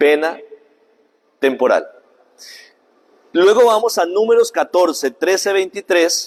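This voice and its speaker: Pausing long and often, a man speaks at a very slow pace in a high voice with very even loudness and ordinary pitch variation. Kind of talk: catechesis lecture.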